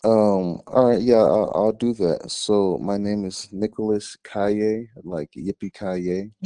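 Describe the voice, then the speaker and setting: Very slowly and with hardly any pauses, a man speaks in a fairly low, dark and mellow voice, with a dry, close sound and no echo against a quiet background. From US South, Georgia (Gwinnett County, Atlanta). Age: 30s. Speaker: musician and actor. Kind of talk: interview conversation.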